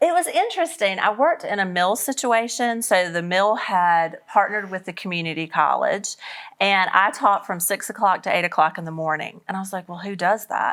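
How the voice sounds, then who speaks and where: In a Southern US accent, a woman speaks at a fairly quick pace with hardly any pauses and big swings in loudness. Her pitch is medium, with ordinary variation. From US South. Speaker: author and speaker. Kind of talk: interview. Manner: casual, conversational.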